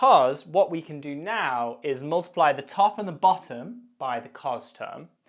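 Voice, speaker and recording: At a fairly slow pace, a man with an unremarkable speaking voice talks with lively intonation. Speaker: maths lecturer. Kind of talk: tutorial.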